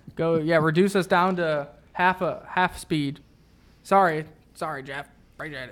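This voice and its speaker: A man with a high pitch and fairly even intonation, long, frequent pauses and big swings in loudness, on a very clean recording with a silent background. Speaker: crypto trading show host. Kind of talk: live stream chat reading viewer comments. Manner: fast.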